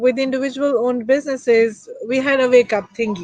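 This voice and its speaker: A woman speaks in a high voice. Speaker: podcast host. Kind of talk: casual chat. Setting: live stream. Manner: slow.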